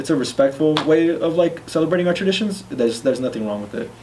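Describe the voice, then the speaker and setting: Over noticeable background noise and audible room echo, a man talks at a very fast pace with a medium pitch and lively intonation. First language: Spanish. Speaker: discussion panelist. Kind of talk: casual discussion. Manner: halting, many fillers.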